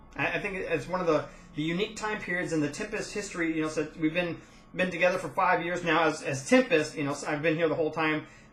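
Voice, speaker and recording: The speech comes at a very fast pace with ordinary pitch variation. Noticeable background noise is present. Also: man, high pitch for a man. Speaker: gaming guild leader. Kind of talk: casual monologue update.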